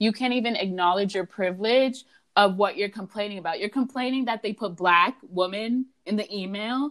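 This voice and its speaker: A woman with an unremarkable speaking voice talks at medium pitch and a moderate pace with ordinary pitch variation, in a very clean recording with a silent background. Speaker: student club president and podcast host. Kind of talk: casual chat.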